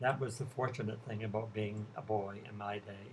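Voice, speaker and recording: At a moderate pace, a man talks in a somewhat breathy voice. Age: 70s. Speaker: retired ballet dancer and teacher. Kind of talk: prepared talk to students. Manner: formal.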